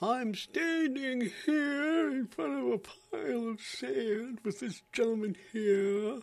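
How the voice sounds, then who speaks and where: A put-on character voice at a fairly high pitch drawls out the words at a very slow pace. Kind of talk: formal, broadcast. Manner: stilted, on-air.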